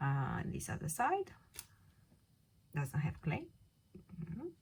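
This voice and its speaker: Somewhat breathy and fairly low in pitch, a woman speaks with a non-native accent. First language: not English. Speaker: polymer clay craft tutor. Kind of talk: tutorial. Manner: casual, hesitant with fillers.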